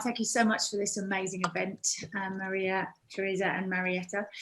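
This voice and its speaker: A woman's bright, sharp voice in a British accent at a moderate pace. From UK. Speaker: fitness instructor. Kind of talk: speech.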